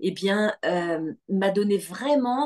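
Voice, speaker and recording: Very slowly, a woman speaks at a medium pitch with lively intonation, the sound dry and close with no echo. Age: 60s. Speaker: spiritual retreat leader. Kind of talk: online information session. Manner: hesitant, many fillers.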